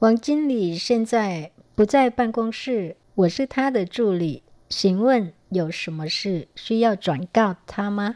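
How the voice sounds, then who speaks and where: In a dark, mellow tone, a woman with a fairly high pitch speaks at a very slow pace. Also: lively intonation. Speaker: language teacher. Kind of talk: language lesson.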